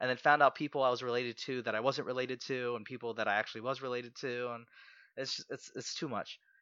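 Very fast talk from a man with an American accent, medium-pitched, with a bright, sharp tone. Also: dry, close sound with no echo, quiet background. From US, Southern Maryland. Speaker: podcast producer and actor. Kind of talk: casual interview.

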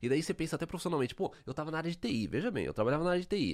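The recording of this man's voice is very clean, against a silent background. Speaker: podcast host. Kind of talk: casual chat.

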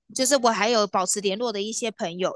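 Fairly high in pitch, a woman speaks. The sound is dry and close with no echo. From Taiwan, New Taipei. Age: 30s. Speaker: polar tour guide. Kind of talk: interview.

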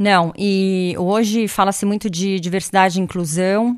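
On a very clean recording with a silent background, a woman with an unremarkable speaking voice talks at a medium pitch and a fairly slow pace. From Brazil. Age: 40s. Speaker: tech industry executive. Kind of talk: casual interview. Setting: recorded in her home.

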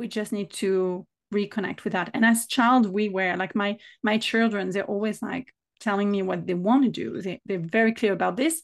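Over a quiet background, a woman talks with a French accent at medium pitch. Her pace is moderate and her pitch variation ordinary. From south of France. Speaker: business mentor and author. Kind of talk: casual interview conversation.

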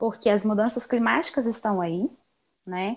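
A woman speaks in a Minas Gerais accent. Her pace is moderate. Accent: Brazilian Portuguese, mineiro. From Minas Gerais, Brazil (Belo Horizonte). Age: 20s. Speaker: environmental engineer. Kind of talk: casual interview.

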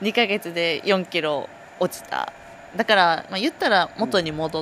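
A woman speaks at a fairly low pitch, with vocal fry. Her pace is moderate and her pitch variation ordinary. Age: 20s. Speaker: dairy herd testing technician. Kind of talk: casual chat. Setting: outdoors near a cowshed.

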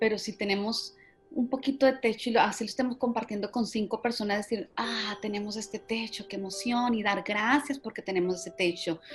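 This woman's voice sits fairly high in pitch with ordinary variation. She speaks at a fairly quick pace. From Colombia. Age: 40s. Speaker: marketing executive. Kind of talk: interview. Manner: halting, repeats words.

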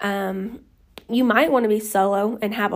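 A woman with an American accent has a plain, everyday voice. Her pitch is medium, with ordinary pitch variation. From Oklahoma. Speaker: lash studio owner and educator. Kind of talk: solo podcast tutorial. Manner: casual, filler-heavy.

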